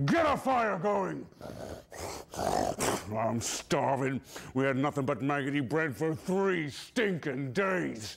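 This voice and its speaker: A man in a put-on character voice, pitched fairly high, speaks at a very slow pace over light background noise. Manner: gruff, coarse.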